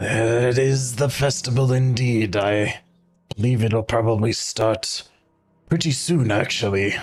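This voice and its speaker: A put-on character voice from a man at medium pitch, fairly slow in pace, with very even loudness and faint music in the background. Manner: flat, unexcited.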